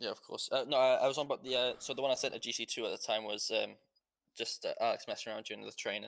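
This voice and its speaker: Speaking at a very fast pace, a man talks in a British accent. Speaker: online roleplay gamer. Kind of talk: casual chat. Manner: halting.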